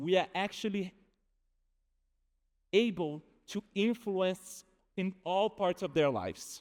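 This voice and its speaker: A man with a Brazilian accent speaks at a very slow pace in a high voice, with ordinary pitch variation and long, frequent pauses, on a very clean recording with a silent background. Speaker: behavioral economist. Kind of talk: conference talk.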